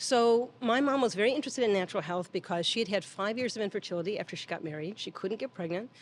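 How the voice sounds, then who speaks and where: A woman's fairly high voice at a very fast pace, with lively intonation. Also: hardly any pauses. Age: 60s. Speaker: midwife. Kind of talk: interview conversation.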